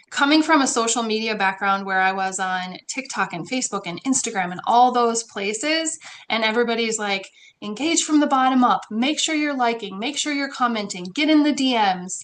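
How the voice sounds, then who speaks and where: A woman talks at a fairly quick pace, her intonation lively. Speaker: online community builder. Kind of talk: guest presentation in a live mastermind call. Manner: fast; casual, with fillers.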